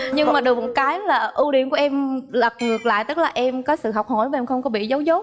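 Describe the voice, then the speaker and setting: With music in the background, a woman with a slight central Vietnamese accent speaks quickly in a high pitch, with ordinary pitch variation and hardly any pauses. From Phu Yen, central Vietnam. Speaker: dating show contestant. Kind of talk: dating show conversation.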